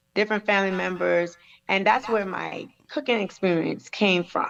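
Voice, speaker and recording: A woman talks with a Caribbean accent. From US Virgin Islands (St. Thomas). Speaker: chef and Navy veteran. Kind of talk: interview testimony.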